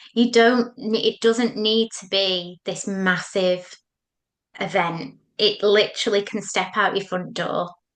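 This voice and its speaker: A woman with a northern English accent speaks at a fairly slow pace with fairly even intonation and big swings in loudness. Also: medium pitch for a woman. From northern England. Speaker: psychotherapist. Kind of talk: podcast interview.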